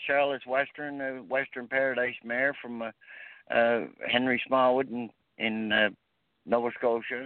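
A man with a Maritime Canadian accent speaks at a fairly slow pace, his medium-pitched voice flat and monotone. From Prince Edward Island, Canada. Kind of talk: casual interview. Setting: phone call.

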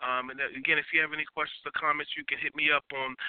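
A normal speaking voice from a man, medium in pitch, with fairly even intonation. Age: 40s. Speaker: radio talk show host. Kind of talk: call-in radio talk show.

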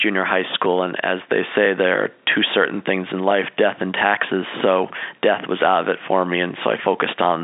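A man speaks at a low pitch with vocal fry, little pitch movement and few pauses. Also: moderate pace.

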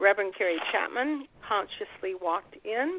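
In an ordinary speaking voice, a woman with a fairly high pitch talks at a fairly slow pace with lively intonation. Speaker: radio host. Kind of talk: radio interview. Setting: internet radio show.

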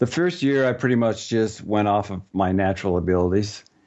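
A plain, everyday voice, a man's, sits at fairly low pitch with ordinary pitch variation. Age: 50s. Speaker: ninja warrior competitor. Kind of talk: interview.

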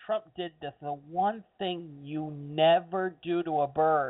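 With an American accent, a man speaks at a fairly slow pace in a fairly high pitch and an animated, enthusiastic tone. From US, Cuban American family. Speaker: online radio talk show host. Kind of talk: radio dj patter, solo talk show monologue riffing on news. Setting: home studio with headset mic. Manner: loose, chatty and self-deprecating, with filler words; animated, enthusiastic asides.

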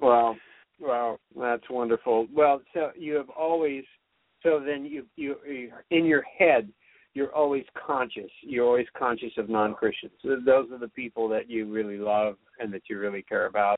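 A man with an ordinary speaking voice and medium pitch talks at a moderate pace with ordinary pitch variation. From California. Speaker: singer-songwriter, show host. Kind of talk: interview.

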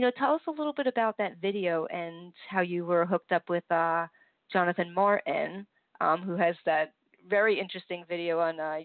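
A woman's ordinary speaking voice, fairly low in pitch, with ordinary pitch variation and a fairly quick pace. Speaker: radio host. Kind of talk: radio interview. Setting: online radio show.

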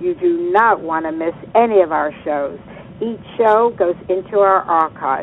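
The voice moves at a fairly slow pace with ordinary pitch variation over noticeable background noise. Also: woman. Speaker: radio host and coach. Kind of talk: radio interview. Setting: live radio show.

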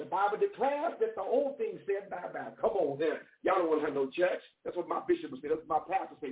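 A woman speaks with lively intonation and a slightly husky edge.

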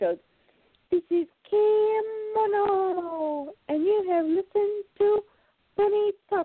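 This put-on character voice is extremely high in pitch and moves at a very slow pace, broken by long, frequent pauses. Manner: put-on, playful.

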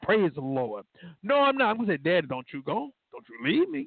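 With a normal speaking voice and lively intonation, a man talks at a fairly quick pace. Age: 40s. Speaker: radio host and law enforcement officer. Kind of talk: faith-based call-in talk show. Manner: informal, conversational.

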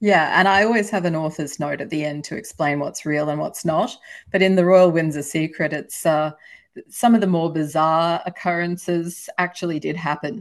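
A woman speaks with an Australian accent at a moderate pace. Her fairly low voice has ordinary pitch variation over a quiet background. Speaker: historical novelist. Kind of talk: casual interview.

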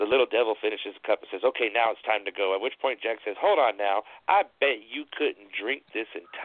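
This recording features someone reading aloud in a natural voice.

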